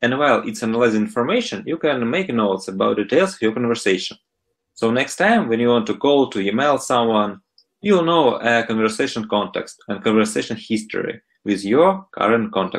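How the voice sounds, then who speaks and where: Here a man speaks with a strong Russian accent at a medium pitch. His pace is fairly quick and his intonation lively. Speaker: startup founder. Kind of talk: interview. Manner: hesitant with fillers.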